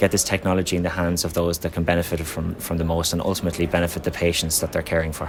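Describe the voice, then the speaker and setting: A man with a very deep, low pitch talks at a very fast pace with hardly any pauses. His intonation is monotone and flat. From Ireland. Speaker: company representative at trade conference. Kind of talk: conference interview. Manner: halting, many fillers.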